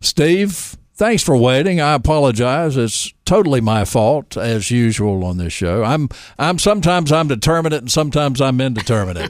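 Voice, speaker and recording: Man with a Southern US accent, medium pitch, very wide pitch swings and a moderate pace. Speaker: radio host. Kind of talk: radio call-in show. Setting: studio. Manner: joking.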